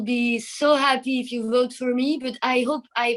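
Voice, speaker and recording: A woman speaks in a French accent at a high pitch. Her intonation is monotone and flat, and her pace is fairly slow. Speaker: singer. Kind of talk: interview. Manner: halting.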